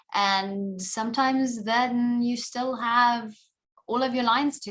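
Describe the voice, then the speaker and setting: Speaking with a South African accent, a woman uses a fairly high pitch and ordinary pitch variation. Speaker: actor. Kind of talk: interview.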